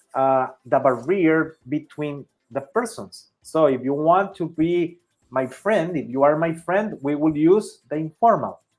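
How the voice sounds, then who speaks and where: A man's voice sits fairly high in pitch, with ordinary pitch variation and a fairly slow pace. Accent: Spanish. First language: Spanish. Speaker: Spanish teacher. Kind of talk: language lesson. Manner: halting.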